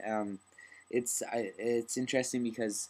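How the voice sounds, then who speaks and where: The pace here is fairly slow. The speaker is a man. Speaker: vlogger. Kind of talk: video diary. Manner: halting.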